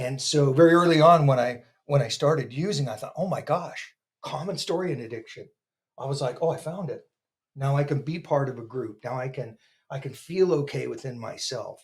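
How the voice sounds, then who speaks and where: With an American accent, this somewhat breathy voice moves at a fairly quick pace with ordinary pitch variation. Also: man, fairly high pitch for a man, big swings in loudness. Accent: American accent, noticeable. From Northern California, US. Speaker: podcast guest in addiction recovery. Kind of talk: testimony. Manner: halting, with stammering repetitions.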